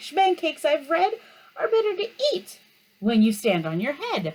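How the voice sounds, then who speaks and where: A put-on character voice, high-pitched, at a moderate pace with very wide pitch swings. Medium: read story. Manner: pompous, know-it-all.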